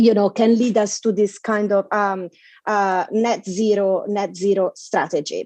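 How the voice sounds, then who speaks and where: In an Italian accent, a woman speaks at a fairly slow pace. Her intonation is monotone and flat. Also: medium pitch for a woman, dry, close sound with no echo. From Italy. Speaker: panelist on digital policy. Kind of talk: conference talk. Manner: halting, repeats words.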